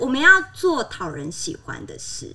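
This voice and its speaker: A woman uses a raised, projected voice at a high pitch. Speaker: former flight attendant. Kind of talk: casual chat. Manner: animated.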